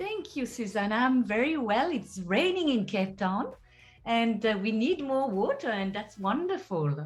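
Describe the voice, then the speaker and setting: Pitched fairly high, a woman with a French accent speaks at a fairly slow pace, her pitch swinging very widely. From France. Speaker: healer and teacher. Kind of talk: interview.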